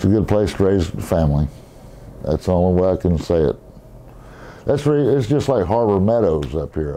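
His tone is dark and mellow, and the man's intonation is lively.

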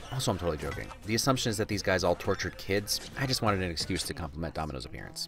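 A man's very deep, low voice with lively intonation, music in the background. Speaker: film commentary narrator. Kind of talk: comedic movie commentary voice-over.

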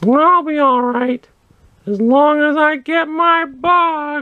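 In a high-pitched cartoonish character voice, the words come at a very slow pace. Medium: puppet. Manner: grumpy, indignant.

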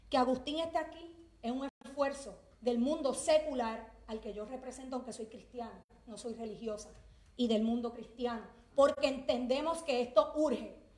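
Amid audible room echo, a woman with a high pitch talks at a moderate pace with ordinary pitch variation and big swings in loudness. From Puerto Rico. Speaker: teacher and activist; public speaker. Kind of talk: impassioned speech. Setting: legislative chamber with audience. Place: hall. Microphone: handheld.

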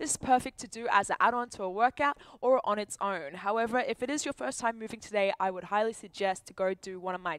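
Against a quiet background, a woman speaks at a fairly quick pace with ordinary pitch variation, the sound dry with no echo. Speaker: fitness coach. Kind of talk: workout class instruction. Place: gym. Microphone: headset.

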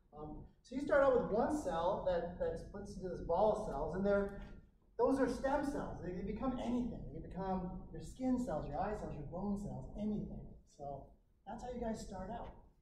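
High male voice at a moderate pace, big swings in loudness, audible room echo and noticeable background noise. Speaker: physiology instructor. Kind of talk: lecture. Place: classroom. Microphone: camera far.

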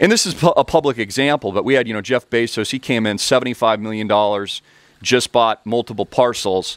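A man speaks at a moderate pace with a medium pitch and ordinary pitch variation. The sound is dry with no echo, over a quiet background. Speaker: crypto commentator and educator; online business coach. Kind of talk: online video commentary with sales pitch. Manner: animated. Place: home room. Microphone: headset.

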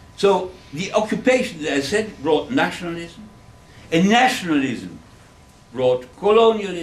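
Lively intonation comes through at a fairly slow pace with long, frequent pauses. The room echo is audible. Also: man, high pitch for a man. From Germany. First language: German. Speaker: Holocaust survivor and author. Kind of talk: public lecture. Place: classroom. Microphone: camera far.

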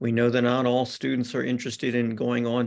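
The speech moves at a moderate pace over a quiet background. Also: man. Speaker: presenter. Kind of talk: presentation to parents. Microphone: video call.

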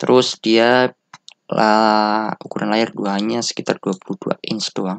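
Heard in a dry, close sound with no echo, a man speaks at a fairly low pitch with ordinary pitch variation. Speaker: tech reviewer. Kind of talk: casual product review, unscripted. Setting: home recording with camera. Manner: casual, rambling, informal slang.

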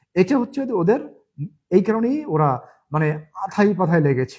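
Against a quiet background, a man speaks at a high pitch. His delivery is animated, with lively intonation. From Gopalganj, Bangladesh. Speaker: political commentator vlogger. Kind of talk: political monologue vlog.

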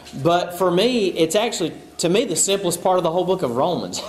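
A man's voice with audible room echo. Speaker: pastor. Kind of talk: sermon. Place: church.

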